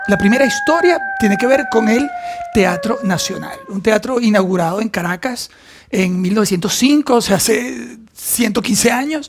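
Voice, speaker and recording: A man's high-pitched, lively voice at a moderate pace, with noticeable background noise. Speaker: actor. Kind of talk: casual talk to camera.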